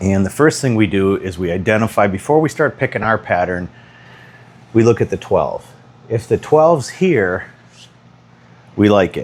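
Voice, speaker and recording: Lively intonation runs through this man's speech at a moderate pace. Long, frequent pauses break it up. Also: fairly low pitch for a man. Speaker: pool instructor. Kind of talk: tutorial. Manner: quiet; casual.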